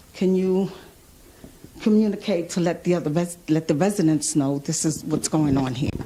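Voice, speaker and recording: At a moderate pace, a woman with a fairly low voice speaks at very even loudness and ordinary pitch variation over noticeable background noise. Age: 60s. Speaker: resident asking questions. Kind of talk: public comment.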